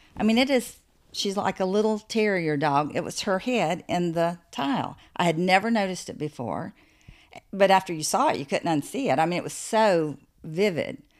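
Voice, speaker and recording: Speaking with an American accent at a moderate pace, a woman uses a plain, everyday voice with medium pitch and lively intonation. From US South. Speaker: author and artist. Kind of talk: casual interview. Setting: in person on location.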